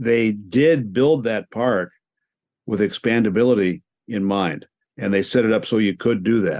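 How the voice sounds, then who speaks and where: A man's normal speaking voice, fairly low in pitch, with ordinary pitch variation and a moderate pace. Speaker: radio sports play-by-play announcer. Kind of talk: interview answer, conversational storytelling.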